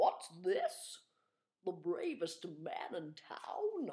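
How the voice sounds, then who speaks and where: In a put-on character voice, the speaker goes very slowly at a fairly high pitch with very wide pitch swings. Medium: read story. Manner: warm, regal.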